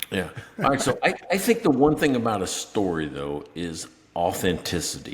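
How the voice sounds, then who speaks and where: A man with an American accent speaks at medium pitch. His pitch swings very widely. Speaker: podcast co-host. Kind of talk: casual chat.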